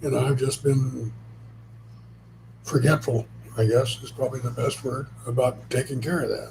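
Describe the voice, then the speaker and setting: A man talks at a moderate pace and a medium pitch, with vocal fry in his voice. His delivery is monotone and flat, broken by long, frequent pauses. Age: 70s. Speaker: co-host, spouse helping with channel. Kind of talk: casual live stream chat. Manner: halting, repeats words.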